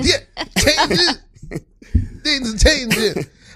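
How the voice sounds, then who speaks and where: A man talks at a moderate pace. His pitch swings very widely over noticeable background noise. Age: 40s. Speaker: podcast host. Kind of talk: casual chat. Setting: studio.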